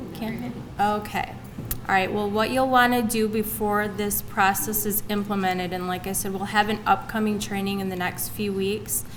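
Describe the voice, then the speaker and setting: Soft-spoken and flat in intonation, the voice moves at a moderate pace amid noticeable background noise and audible room echo. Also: woman, medium pitch for a woman. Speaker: state agency trainer. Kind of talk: training presentation.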